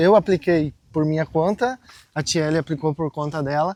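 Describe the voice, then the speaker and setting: With a dry, close sound and no echo, a man speaks at a moderate pace in a plain, everyday voice, fairly high in pitch with ordinary pitch variation. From Brazil. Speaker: travel vlogger. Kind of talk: casual vlog talk. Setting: outdoors, walking.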